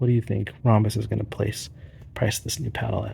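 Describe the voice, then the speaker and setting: A soft-spoken, somewhat breathy man talks at a fairly quick pace. His pitch is medium and his intonation fairly even. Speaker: pickleball paddle reviewer. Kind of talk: casual video monologue. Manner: hesitant.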